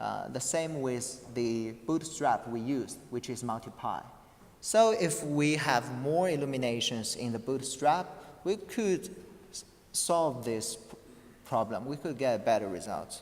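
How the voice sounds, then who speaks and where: Lively intonation marks this man's speech in a non-native accent. His pitch is medium and his pace fairly slow. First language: not English. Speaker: conference paper presenter. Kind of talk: academic presentation with Q&A. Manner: halting, many false starts and fillers.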